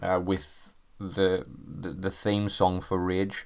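In a British accent, a man speaks at a fairly low pitch. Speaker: gaming podcaster. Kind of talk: solo podcast commentary. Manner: animated.

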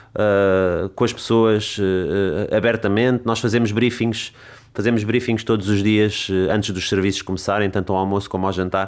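At a moderate pace, the voice keeps a monotone, flat intonation in a very clean recording with a silent background. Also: man, fairly low pitch for a man. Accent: Lisbon. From Lisbon, Portugal. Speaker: chef and restaurant owner. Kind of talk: interview conversation. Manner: halting, many repeated words.

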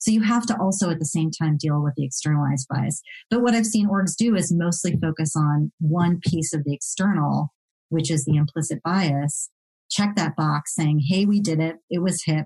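In a dark, mellow tone, a woman speaks somewhat breathily at a fairly low pitch and moderate pace with very even loudness, in a dry, close sound with no echo. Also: ordinary pitch variation. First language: non-English (learned English as second language). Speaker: diversity and belonging consultant, former attorney. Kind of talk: interview podcast.

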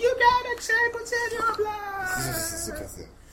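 An extremely high-pitched, put-on character voice at a very slow pace over loud background noise. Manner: screaming.

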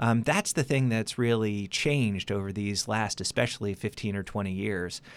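In a very clean recording with a silent background, a man with an ordinary speaking voice talks at a moderate pace, fairly low in pitch with ordinary pitch variation. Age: 50s. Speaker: political science professor. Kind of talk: radio interview. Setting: studio. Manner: many filler words.

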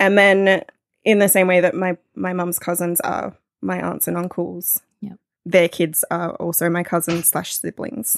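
A woman with an Australian accent, fairly low-pitched, with fairly even intonation at a fairly slow pace, dry and close with no echo. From Australia, northeast New South Wales. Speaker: podcast producer and radio broadcaster. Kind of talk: casual chat.

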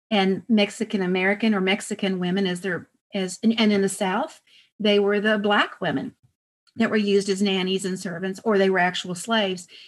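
With a plain, everyday voice, a woman talks at a medium pitch and a moderate pace, her intonation fairly even, over a quiet background. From Texas, El Paso. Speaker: author and historian. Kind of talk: interview.

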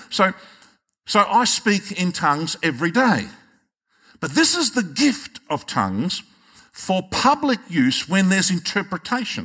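With an Australian accent, a man projects a raised, high-pitched voice with a bright, sharp tone and very wide pitch swings, speaking fairly slowly with long, frequent pauses. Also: very clean recording, silent background. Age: 60s. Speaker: pastor. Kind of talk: sermon.

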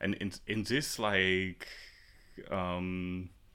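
Recorded very cleanly against a silent background, a man with a Czech accent speaks in a fairly low pitch with a bright, sharp tone. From Czech Republic, Prague. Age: 30s. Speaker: ceramicist and art professor. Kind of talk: interview. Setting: ceramics studio.

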